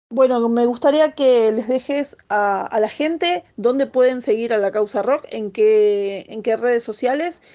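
With hardly any pauses, a woman speaks at a fairly slow pace in a dark, mellow tone and a fairly high pitch. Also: ordinary pitch variation. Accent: Argentine. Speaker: radio host. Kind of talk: radio interview.

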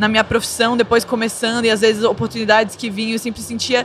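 There is noticeable background noise behind this speaker. She is a woman with a fairly high pitch. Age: 20s. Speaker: psychologist. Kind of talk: casual chat.

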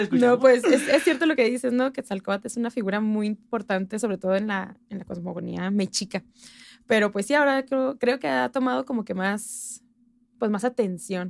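On a very clean recording with a silent background, a woman speaks at a moderate pace with fairly high pitch and lively intonation. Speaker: history enthusiast and folk dancer. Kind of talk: casual chat.

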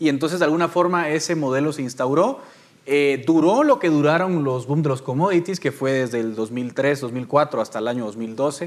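This man has an ordinary speaking voice, fairly high in pitch. He keeps a moderate pace with ordinary pitch variation. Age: 30s. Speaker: political analyst, panelist. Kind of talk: panel debate.

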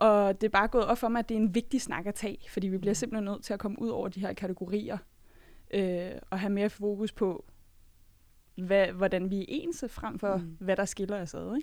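The recording is very clean with a silent background. A woman with a normal speaking voice talks at medium pitch and a moderate pace, with ordinary pitch variation. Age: 20s. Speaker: podcast panelist. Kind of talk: casual chat. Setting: studio.

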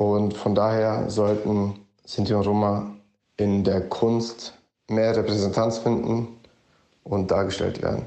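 The speech moves at a very slow pace with long, frequent pauses. Intonation stays monotone and flat, and loudness is very even. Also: man, fairly low pitch for a man. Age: 20s. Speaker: student and Roma rights activist. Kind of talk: interview statement.

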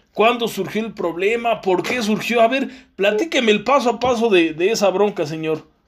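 A moderate pace and an animated tone, with a Mexican accent. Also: man, high pitch for a man, ordinary pitch variation. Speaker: podcast host. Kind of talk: interview.

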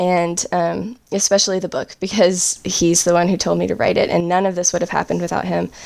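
A woman with an American accent, a normal speaking voice, fairly low pitch, and ordinary pitch variation. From US South, upstate South Carolina. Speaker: ceramic artist and author. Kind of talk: interview.

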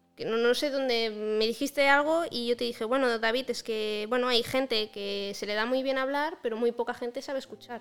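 Pausing hardly at all, a woman speaks at a moderate pace in a high voice with fairly even intonation. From Andorra. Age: 20s. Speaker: graphic designer. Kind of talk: casual chat.

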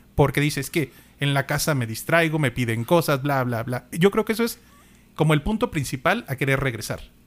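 This man has an unremarkable speaking voice, fairly high in pitch, delivered at a fairly quick clip with lively intonation. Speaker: podcast co-host. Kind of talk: casual chat.

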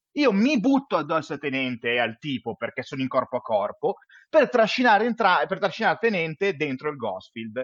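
The voice reads in an unforced way.

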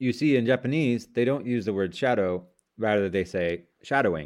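A man's voice, with ordinary pitch variation, is heard over a quiet background. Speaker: English learning podcaster. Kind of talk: scripted monologue for shadowing practice. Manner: slow, deliberate reading.

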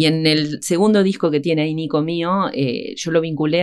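This woman's voice is very deep and low in pitch, with ordinary pitch variation and a fairly quick pace. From Argentina, Entre Ríos (Concepción del Uruguay). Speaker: harpist and music teacher. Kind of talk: radio interview. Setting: radio studio.

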